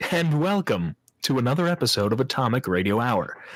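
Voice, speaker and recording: His pitch swings very widely. This man's voice carries vocal fry. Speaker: podcast host. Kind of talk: casual podcast banter.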